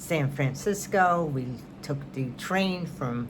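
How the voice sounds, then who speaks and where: Speaking very slowly in a New York accent, a woman uses lively intonation amid audible room echo. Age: 70s. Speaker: knitting and crafts vlogger. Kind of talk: casual chat.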